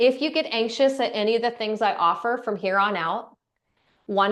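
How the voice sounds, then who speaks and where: A woman speaks at a fairly slow pace in a fairly high pitch with ordinary pitch variation over a quiet background. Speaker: breathwork instructor. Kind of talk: guided breathing class.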